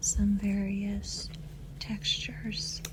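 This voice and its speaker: Someone soft-spoken talks while noticeable background noise carries on. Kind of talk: ASMR voiceover while painting.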